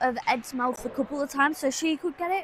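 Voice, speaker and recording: Against noticeable background noise, a woman with a high pitch speaks at a moderate pace. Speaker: amateur livestream commentator. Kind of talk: live commentary. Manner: hesitant, many fillers; loud, speaking over background noise.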